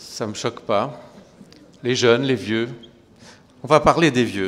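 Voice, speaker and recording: Very slowly, a man talks in a medium pitch. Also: ordinary pitch variation. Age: 60s. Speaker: geriatrician. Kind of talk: conference talk. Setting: lecture hall with audience. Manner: conversational, hesitant.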